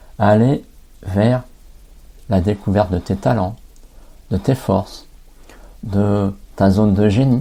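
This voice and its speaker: A man's somewhat breathy, dark, mellow tone at a fairly low pitch. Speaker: life coach and podcast host. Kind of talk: podcast monologue. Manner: hesitant, with fillers and repetitions.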